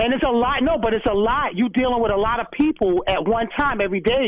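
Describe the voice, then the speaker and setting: The speaker talks at a moderate pace in a New York accent. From New York City, Brooklyn. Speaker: former correction officer. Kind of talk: radio interview.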